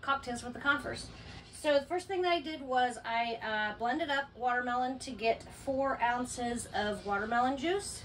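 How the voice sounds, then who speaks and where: The voice shows ordinary pitch variation over light background noise. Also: woman. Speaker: RV camper hosting a cocktail segment. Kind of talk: tutorial. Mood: playful, upbeat. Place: home room. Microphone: camera far.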